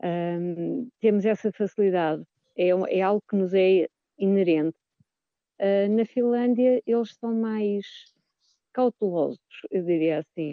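The speech goes very slowly, broken by frequent long pauses. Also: woman, medium pitch for a woman, ordinary pitch variation. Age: 50s. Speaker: choir singer. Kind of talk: radio interview. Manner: halting, with repetitions.

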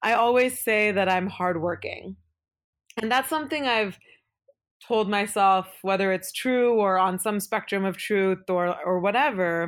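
The speaker has a Pacific Northwest accent and talks at a fairly slow pace. The recording is very clean, with a silent background. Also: woman. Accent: American (Pacific Northwest). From Oregon, Beaverton (Portland suburb), born in India. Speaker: venture capital investor. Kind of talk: interview.

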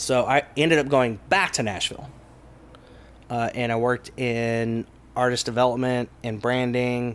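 A man with an American accent talks in a normal speaking voice at medium pitch, with fairly even intonation and a moderate pace. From East Texas (Kilgore). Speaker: comedy club owner, former country singer. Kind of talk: casual interview.

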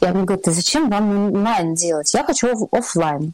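A woman at medium pitch, with ordinary pitch variation and a moderate pace. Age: 30s. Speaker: table-setting stylist. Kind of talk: interview. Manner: calm, relaxed.

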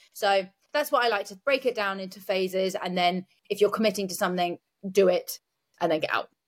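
In a normal speaking voice at a fairly quick pace, the speaker shows ordinary pitch variation and big swings in loudness, with a dry, close sound, no echo, and a very clean recording over a silent background. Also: woman, medium pitch for a woman. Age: 30s. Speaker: competitive bodybuilder. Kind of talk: casual chat. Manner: fast.

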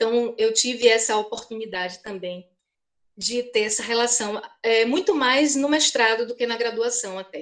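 A woman speaks in a normal speaking voice with a fairly high pitch. The background is quiet. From Bahia, Brazil (Feira de Santana). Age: 50s. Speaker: historian and university professor. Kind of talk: interview.

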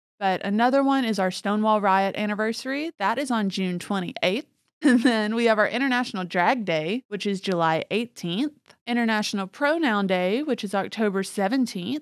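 Here is a woman with a plain, everyday voice and a fairly high pitch. She talks at a moderate pace with ordinary pitch variation. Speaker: podcast host. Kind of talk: casual chat.

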